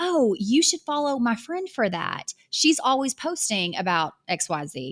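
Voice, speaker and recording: In a very clean recording with a silent background, a woman speaks with a Southern US accent. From US South. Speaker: online business coach. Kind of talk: podcast monologue. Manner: conversational.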